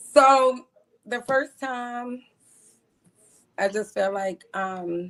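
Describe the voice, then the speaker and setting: A woman with a Baltimore accent speaks at a very slow pace, with long, frequent pauses. Her pitch is high, with ordinary variation. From Baltimore, US. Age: 40s. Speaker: caller seeking a partner. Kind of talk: casual interview.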